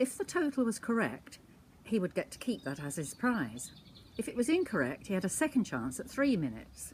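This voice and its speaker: At a medium pitch and moderate pace, a woman talks with vocal fry. Her pitch swings very widely. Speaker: storyteller grandmother. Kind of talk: anecdote monologue.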